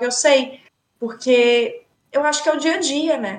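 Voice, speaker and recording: A woman talks at a moderate pace in a high voice with ordinary pitch variation. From Brazil. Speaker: English teacher. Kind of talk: casual chat. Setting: studio.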